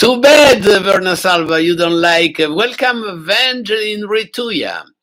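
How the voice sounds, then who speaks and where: Speaking at a fairly slow pace, a man uses a high voice with ordinary pitch variation. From northern Italy, Milan. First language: Italian. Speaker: classical pianist and channel host. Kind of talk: live stream chat with viewers. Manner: halting, many filler sounds.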